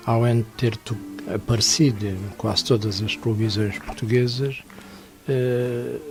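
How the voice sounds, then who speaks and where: Music plays in the background as a man speaks at a fairly slow pace with fairly even intonation and long, frequent pauses. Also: medium pitch for a man. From Portugal, Évora (Alentejo). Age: 70s. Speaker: musician. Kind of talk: radio interview.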